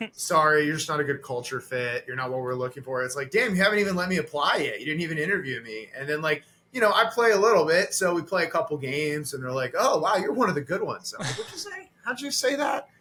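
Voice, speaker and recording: A man races along at a very fast pace with hardly any pauses, his fairly high pitch making very wide swings over noticeable background noise. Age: 30s. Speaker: comedian. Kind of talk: casual chat; stand-up.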